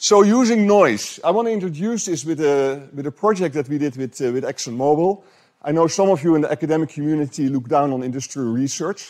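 Fairly quick, nearly pause-free speech from a man with a fairly high pitch and lively intonation, over a quiet background. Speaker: professor. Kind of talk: lecture. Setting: lecture room with audience. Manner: halting, repeats words. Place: hall. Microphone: handheld.

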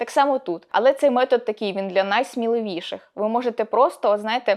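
Over a quiet background, a woman with a normal speaking voice talks fairly quickly at a fairly high pitch, with ordinary pitch variation. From northern Ukraine, rural Chernihiv region. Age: 20s. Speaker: blogging coach. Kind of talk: video tutorial.

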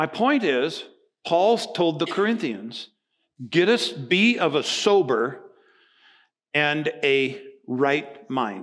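Against a quiet background, a man talks with a fairly high pitch. His pitch swings very widely. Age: 60s. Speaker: pastor. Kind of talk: sermon. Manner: animated. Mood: humorous, animated. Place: church.

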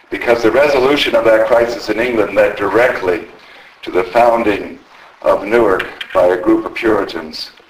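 A man speaks at a moderate pace, and noticeable background noise is present. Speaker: local historian and history society president. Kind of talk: lecture. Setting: stage with audience, microphone.

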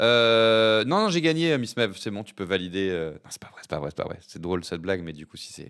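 A man with a fairly low pitch. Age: 40s. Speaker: streamer. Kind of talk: casual live stream chat. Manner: animated.

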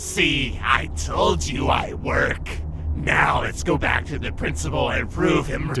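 A man performs a cartoonish character voice at a fairly slow pace. Clear background noise is audible. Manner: defensive, warning.

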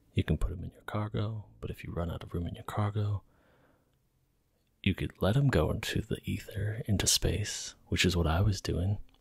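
Soft-spoken and somewhat breathy, a man talks at a fairly quick pace with a fairly low pitch and fairly even intonation. The sound is dry with no echo against a quiet background. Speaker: game commentator. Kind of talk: ASMR gameplay commentary.

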